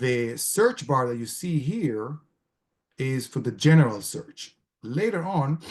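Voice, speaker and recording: A man talks in a somewhat breathy voice. His pitch swings very widely. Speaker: gerontologist and elder care researcher. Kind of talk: presentation with screen-share walkthrough.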